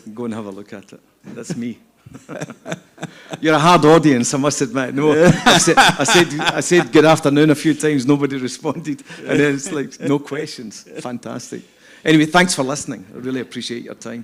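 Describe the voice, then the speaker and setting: With a Scottish accent, a man talks at a fairly quick pace and fairly high pitch, with ordinary pitch variation and big swings in loudness. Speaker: scaffolding company executive. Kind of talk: panel interview. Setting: stage with audience. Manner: halting, many repetitions.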